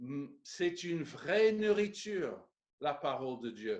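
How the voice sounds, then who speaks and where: A man talks very slowly, his intonation lively. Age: 60s. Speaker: pastor. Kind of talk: sermon.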